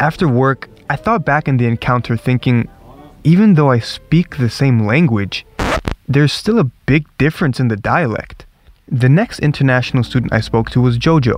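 A man with a Northern US accent, medium pitch, lively intonation, moderate pace and very even loudness, in a dry, close sound with no echo. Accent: American, sounds northern US like New York. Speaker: podcast host, international student. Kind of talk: scripted narration.

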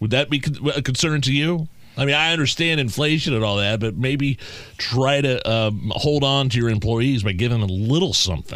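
A man with an unremarkable speaking voice talks at a fairly quick pace with medium pitch, ordinary pitch variation and very even loudness. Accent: American. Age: 40s. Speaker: radio host. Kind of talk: casual chat.

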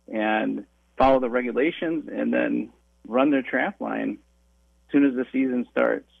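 A man with a Wisconsin accent talks at a fairly slow pace. He takes long, frequent pauses. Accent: Upper Midwest (Wisconsin). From western Wisconsin, La Crosse area. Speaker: trapping education instructor. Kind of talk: radio interview. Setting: phone call.

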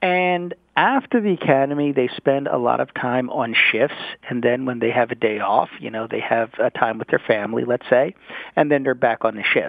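A plain, everyday voice is heard here. It moves at a moderate pace. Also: man, medium pitch for a man, ordinary pitch variation. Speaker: city council member. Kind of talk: radio interview.

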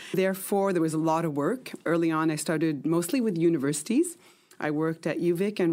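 In a very clean recording with a silent background, a woman speaks at a fairly low pitch in a dark, mellow tone with ordinary pitch variation. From Quebec, Canada. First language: French (dominant, though English learned first). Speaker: museum manager. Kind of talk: interview.

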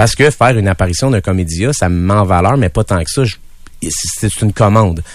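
A man speaks in an unremarkable speaking voice, pitched fairly low. His pace is fairly quick and his intonation lively. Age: 40s. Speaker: musician and showman. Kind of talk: casual chat interview. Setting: radio studio.

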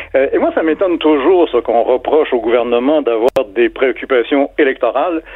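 A man speaking at a moderate pace. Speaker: literature professor. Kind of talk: radio interview.

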